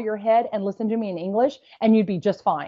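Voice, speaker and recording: A woman at a fairly quick pace. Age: 50s. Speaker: beauty entrepreneur and former model. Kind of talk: interview. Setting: podcast interview.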